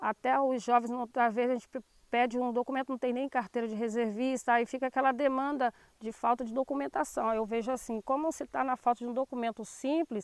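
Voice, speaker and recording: Speaking at a fairly quick pace, a woman uses a high pitch with fairly even intonation. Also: dry, close sound with no echo. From Brazil, Angra dos Reis (Rio de Janeiro state coast). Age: 40s. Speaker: teacher and shellfish gatherer, community representative. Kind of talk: interview testimony. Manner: halting, many fillers.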